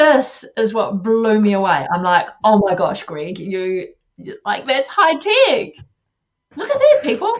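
A woman's high-pitched voice in a New Zealand accent, very slow, with very wide pitch swings. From New Zealand, Taranaki (Māori). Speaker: live-stream show host, event agency founder; interviewer host. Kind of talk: interview. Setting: video call. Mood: amused, impressed. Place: home room. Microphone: video call.

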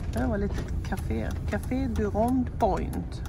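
The recording sounds dry with no echo, though noticeable background noise runs beneath it. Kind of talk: casual vlog chat. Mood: excited, a bit nervous. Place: car. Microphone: phone near.

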